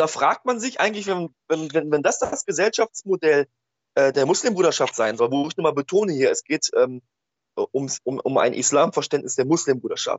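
At a moderate pace, a man with a normal speaking voice talks in a fairly high pitch with lively intonation. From Ruhr area, Germany (Oberhausen). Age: 30s. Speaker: social worker and antifascist blogger. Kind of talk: casual chat. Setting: Skype call.

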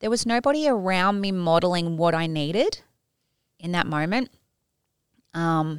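With an Australian accent, a woman speaks at a fairly low pitch. The recording is very clean, with a silent background. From Tasmania, Australia. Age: 40s. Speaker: empowerment coach. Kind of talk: casual chat.

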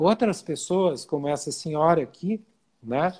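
With a high voice and ordinary pitch variation, the man talks. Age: 60s. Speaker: physician. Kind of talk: interview. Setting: Instagram live video. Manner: hesitant, many fillers.

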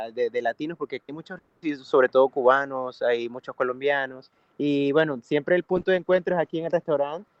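In a normal speaking voice, a man with a fairly high pitch talks at a fairly quick pace, showing ordinary pitch variation and big swings in loudness. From Venezuela, Valencia (Carabobo). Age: 30s. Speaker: singer and music producer. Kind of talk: interview.

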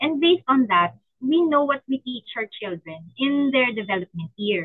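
Her pitch is fairly high for a woman, with very wide swings. She speaks at a fairly slow pace. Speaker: stay-at-home mom and virtual assistant. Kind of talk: casual chat.

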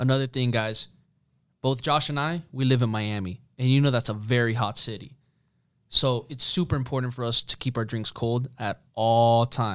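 A man with an unremarkable speaking voice talks at a moderate pace in a medium pitch. His intonation is fairly even, in a very clean recording with a silent background. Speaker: podcast co-host. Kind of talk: casual interview chat.

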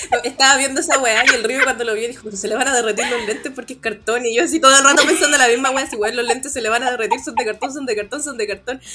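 A woman with a Chilean accent talks at a very fast pace in a high pitch. Noticeable background noise is present. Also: ordinary pitch variation, hardly any pauses. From Chile, Puente Alto (Santiago). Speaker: podcast guest, podcaster. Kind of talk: casual chat.

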